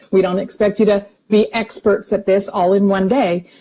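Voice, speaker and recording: A woman's dark, mellow voice sits at medium pitch and sounds somewhat breathy. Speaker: nutrition supplement presenter. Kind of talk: webinar product presentation. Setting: online webinar.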